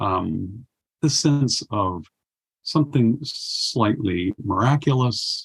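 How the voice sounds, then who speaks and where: A man with a medium-pitched, somewhat breathy voice speaks with lively intonation. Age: 70s. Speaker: poet and war correspondent. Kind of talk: interview conversation. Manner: halting, many fillers.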